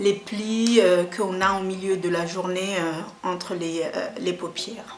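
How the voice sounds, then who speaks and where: A woman talks at a very slow pace, her pitch medium and her intonation fairly even. The room echo is audible and the background noise is noticeable. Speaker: beauty vlogger. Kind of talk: makeup tutorial. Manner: hesitant, many fillers.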